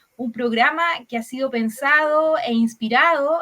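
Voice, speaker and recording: A woman's high-pitched, raised and projected voice, bright and sharp in tone, with lively intonation at a fairly slow pace. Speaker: radio host. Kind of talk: radio program introduction.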